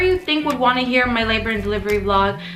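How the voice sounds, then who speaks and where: Audible room echo with music in the background. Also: woman. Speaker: YouTuber and young mom vlogger. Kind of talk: casual vlog storytelling. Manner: shaky voice; rambling, chatty.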